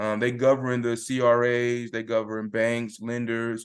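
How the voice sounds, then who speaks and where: Over a quiet background, a man talks at a medium pitch. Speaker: credit repair consultant teaching a class. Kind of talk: online class tutorial with slides. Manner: fast, speeds up when excited.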